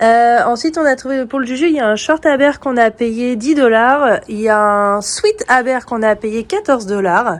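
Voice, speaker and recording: At a moderate pace, a high-pitched woman speaks with ordinary pitch variation and hardly any pauses. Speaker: family travel vlogger. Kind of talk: casual vlog talk to camera.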